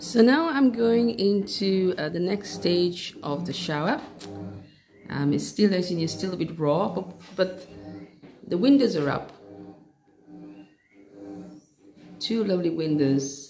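A fairly slow pace with long, frequent pauses and faint music in the background. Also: woman. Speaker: home builder vlogger. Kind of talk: casual vlog chat. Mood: pleased, relaxed. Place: home room. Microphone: phone near.

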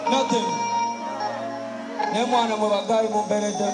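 A man is speaking. Music plays clearly behind him. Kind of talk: stage banter to audience. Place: stage. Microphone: pa.

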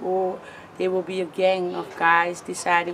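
Over noticeable background noise, a woman with a fairly low pitch speaks at a fairly slow pace. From Cape Town, South Africa. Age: 20s. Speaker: sex worker and advocacy lobbyist. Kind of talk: interview answer. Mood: frank, sometimes smiling despite grim topic.

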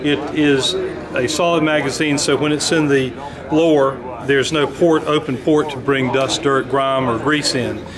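A man talks while noticeable background noise fills the recording. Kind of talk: product demonstration. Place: hall. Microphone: phone near.

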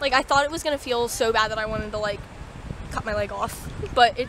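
A woman's raised, projected voice with a dry sound and no echo, over noticeable background noise. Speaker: vlogger. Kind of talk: casual vlog chat. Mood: shaken but laughing. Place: beach. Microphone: phone near.

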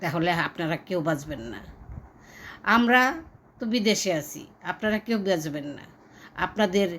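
A medium-pitched woman's voice with lively intonation. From Bangladesh. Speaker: expatriate vlogger. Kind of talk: political appeal. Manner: impassioned.

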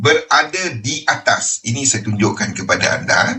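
The voice moves through very wide pitch swings at a very slow pace. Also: man. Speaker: trading educator. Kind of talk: webinar lecture.

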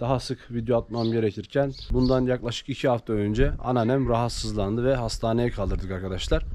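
Light background noise runs under this man's voice. He keeps his intonation fairly even at a fairly quick pace. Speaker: farming channel vlogger. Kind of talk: casual vlog chat. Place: garden. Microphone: phone near.

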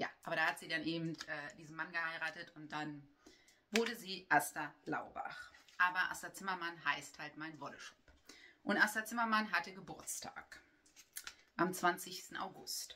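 Over light background noise, a woman with a fairly low pitch and ordinary pitch variation speaks at a moderate pace with long, frequent pauses. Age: 40s. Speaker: knitting vlogger and yarn shop owner; knitting vlogger. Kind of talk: casual chat. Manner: hesitant, with many filler sounds. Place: home room. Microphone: camera far.

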